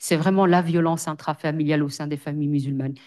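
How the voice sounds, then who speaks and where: A woman's very deep, low voice with fairly even intonation against a quiet background. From Belgium, Brussels. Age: 40s. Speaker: social worker. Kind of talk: testimony. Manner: hesitant, many fillers.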